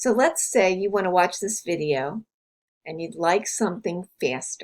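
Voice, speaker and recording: The speaker here is a woman. She talks at a fairly slow pace. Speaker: university instructor. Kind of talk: course overview tutorial.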